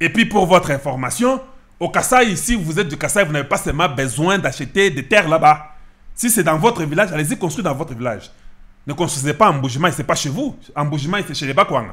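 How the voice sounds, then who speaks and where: A man speaks at a fairly quick pace with lively intonation over a quiet background. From DR Congo, Kasai; DR Congo. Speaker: political commentator, online channel host; political commentator. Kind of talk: political commentary monologue. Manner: emphatic, repetitive. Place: office. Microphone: studio mic.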